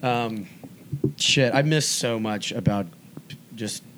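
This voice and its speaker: Very slowly, a man with an American accent and fairly low pitch speaks with ordinary pitch variation amid audible room echo. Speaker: podcast host. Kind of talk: casual chat.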